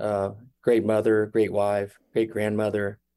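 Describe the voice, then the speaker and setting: A man with a Midwestern US accent talks at a moderate pace. His pitch is medium, and the background is quiet. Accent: US Midwest. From Kansas City, Missouri. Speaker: brother of a shooting victim. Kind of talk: radio interview. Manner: halting.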